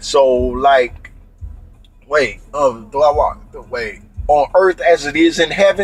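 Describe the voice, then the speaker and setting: Music plays behind a man who speaks at a very slow pace. His loudness swings widely. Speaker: vlogger. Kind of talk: casual rant. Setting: in a car.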